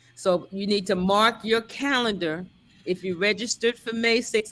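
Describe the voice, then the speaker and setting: Speaking at a medium pitch, a woman keeps a moderate pace. Her tone is animated. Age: 60s. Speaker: pastor and event host. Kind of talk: casual live stream chat. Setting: live stream.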